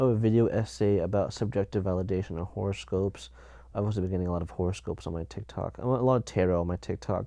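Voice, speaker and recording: The voice has a dark, mellow tone and ordinary pitch variation. It moves at a very fast pace against a quiet background. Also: man, fairly low pitch for a man. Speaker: podcast host. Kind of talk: casual solo chat. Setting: in bed under a blanket, home sound booth. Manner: halting, many fillers.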